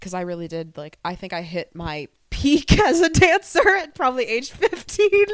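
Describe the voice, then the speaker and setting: A woman speaks at a moderate pace. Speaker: dancer. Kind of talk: casual chat. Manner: loud; animated.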